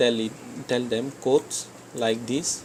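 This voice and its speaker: With noticeable background noise, a man talks at a fairly slow pace. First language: not English. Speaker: game development tutor. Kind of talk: screen-recorded coding tutorial. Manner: halting, frequent self-corrections.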